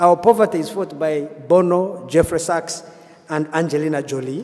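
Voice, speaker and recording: Pitch varies in an ordinary way. Noticeable background noise is present. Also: man. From Uganda. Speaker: journalist. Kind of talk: panel discussion.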